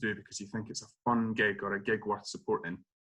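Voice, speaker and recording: A man with an Edinburgh accent talks at a medium pitch. His tone is bright and sharp, his intonation monotone and flat. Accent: Scottish (Edinburgh). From Scotland, Edinburgh. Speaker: playwright. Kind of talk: interview conversation.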